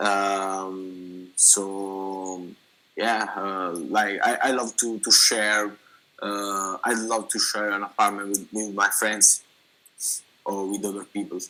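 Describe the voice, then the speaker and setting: This man talks at a very slow pace in a fairly low voice with monotone, flat intonation. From Italy (Naples, raised in Rome). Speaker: language test candidate. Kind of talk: mock speaking exam interview. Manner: halting, many repetitions and fillers.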